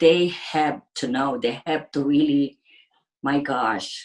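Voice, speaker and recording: A woman with a Filipino accent speaks at a very slow pace. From Philippines. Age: 60s. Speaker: ICU nurse. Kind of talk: interview. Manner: halting.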